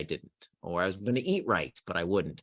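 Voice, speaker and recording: A man speaks with an American accent. The sound is dry and close with no echo, and the background is quiet. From US South, Central Florida. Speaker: author on productivity. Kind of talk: podcast interview.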